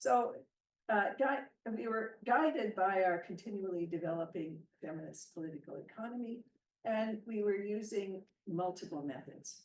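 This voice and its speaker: With a Canadian accent and lively intonation, a woman of medium pitch talks at a moderate pace, and room echo can be heard. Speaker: professor. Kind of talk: lecture. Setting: hybrid seminar with translators.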